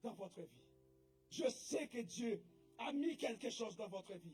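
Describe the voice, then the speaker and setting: Music plays in the background while the voice moves at a very slow pace. Its pitch swings very widely. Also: man. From English-speaking country. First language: English (speaking French). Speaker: preacher. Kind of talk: sermon.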